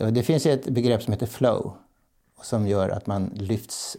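Very slow speech from a man with a dark, mellow tone and ordinary pitch variation, on a very clean recording with a silent background. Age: 70s. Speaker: professional clown and play advocate. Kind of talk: interview conversation. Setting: bakery, home recording.

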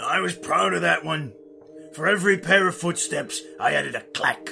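Clear music plays behind a man doing a put-on character voice. His delivery is raspy and moderately paced. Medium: audio drama. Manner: rambling, folksy.

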